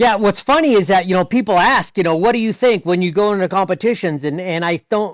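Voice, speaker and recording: This man's voice is high-pitched. His intonation is lively. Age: 60s. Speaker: stunt performer and former BMX freestyle rider. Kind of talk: casual interview chat. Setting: podcast interview. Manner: halting, many repeated words and fillers.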